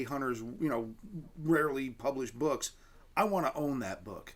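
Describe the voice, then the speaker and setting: Using a normal speaking voice, a man talks at a fairly quick pace, fairly high in pitch with ordinary pitch variation. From Canada. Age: 50s. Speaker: gun writer and editor, TV host. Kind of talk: casual interview chat.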